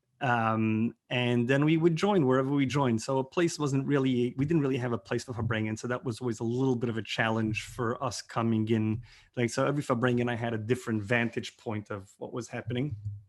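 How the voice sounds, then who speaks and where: A man with a plain, everyday voice and an American accent speaks fairly quickly at a medium pitch, with ordinary pitch variation and hardly any pauses. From New York, Brooklyn (Borough Park). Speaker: rabbi. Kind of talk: interview storytelling. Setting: video call.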